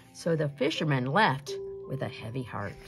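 Over faint music in the background, a woman with vocal fry and an extremely low pitch talks at a moderate pace with big pitch swings.

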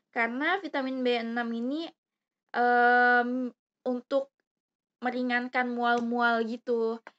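A woman talks at a very slow pace in a high, shrill pitch, with long, frequent pauses. Her intonation is monotone and flat, and the sound is dry and close with no echo. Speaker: YouTuber. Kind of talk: product review vlog. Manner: casual, hesitant with fillers.

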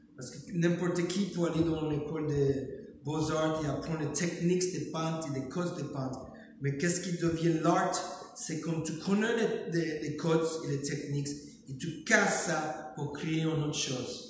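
Strong room echo and light background noise surround a man speaking at a fairly high pitch. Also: ordinary pitch variation, fairly slow pace. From United States (New York). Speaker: painter, street artist. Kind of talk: interview about his art. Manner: halting, hesitant, searching for words. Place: hall. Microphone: camera far.

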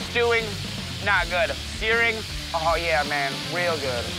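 With clear music in the background, a man speaks with ordinary pitch variation in a dry sound with no echo. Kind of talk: cooking commentary. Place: forest.

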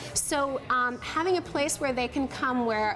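A woman with a high pitch talks at a fairly slow pace against noticeable background noise. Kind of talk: interview answer. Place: cafe. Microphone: lapel.

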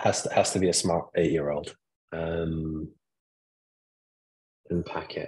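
Speaking at a very slow pace, a man leaves long, frequent pauses over a quiet background. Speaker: marketing consultant. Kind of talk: interview answer. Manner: soft-spoken, mild-mannered. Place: home room. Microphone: video call.

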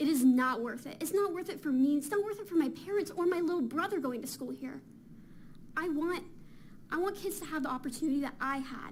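A woman with an American accent, high-pitched and fairly quick, with lively intonation and audible room echo. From Fountain Valley, California. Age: 20s. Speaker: college student, public commenter. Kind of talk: public comment at council meeting. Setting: council chamber with audience. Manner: impassioned.

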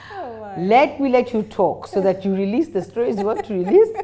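Animated in tone, a woman with a Kenyan accent speaks with lively intonation. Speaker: talk show host. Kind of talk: interview. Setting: studio. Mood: warm, friendly, laughing. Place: studio. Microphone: lapel.

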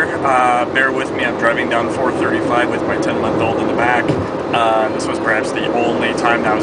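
Loud background noise fills the clip. A man talks at a moderate pace. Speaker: sports fan vlogger. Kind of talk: casual talk to camera, sports commentary vlog. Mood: upbeat, reflective. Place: car. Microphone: phone near.

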